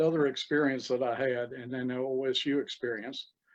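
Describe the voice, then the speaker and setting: A man speaks with an Appalachian accent. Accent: Appalachian Southern US. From East Tennessee. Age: 70s. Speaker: retired cell biologist. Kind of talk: casual interview.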